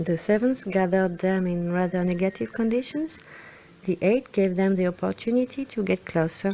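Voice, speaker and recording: A woman speaks with a French accent. Her intonation is lively. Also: medium pitch for a woman, moderate pace, very even loudness. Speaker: film fan commentator. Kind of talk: film analysis commentary.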